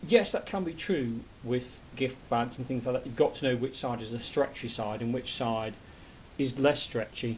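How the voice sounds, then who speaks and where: With a somewhat breathy voice, a man speaks at medium pitch and a moderate pace, his pitch varying in an ordinary way. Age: 50s. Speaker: craft hobbyist. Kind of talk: tutorial. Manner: casual, hesitant.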